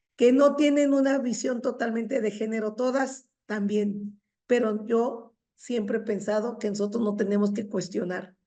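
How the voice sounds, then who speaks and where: Her pitch is fairly high. A woman talks at a fairly slow pace. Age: 60s. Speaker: feminist academic and teacher. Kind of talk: seminar discussion comment. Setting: university seminar. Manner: halting, with repetitions.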